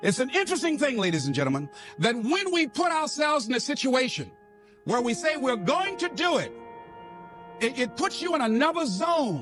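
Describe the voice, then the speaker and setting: With music playing behind him, a man speaks at an extremely high pitch that swings very widely. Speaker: motivational speaker. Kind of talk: motivational speech. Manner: emphatic, repetitive.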